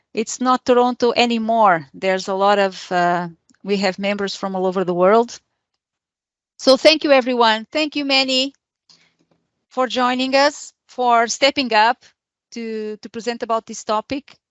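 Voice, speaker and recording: Speaking with a non-native accent, a woman uses a fairly high pitch and ordinary pitch variation. Her pace is moderate, with long, frequent pauses. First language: not English. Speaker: meetup organizer and host. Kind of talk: event introduction. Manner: hesitant, many fillers.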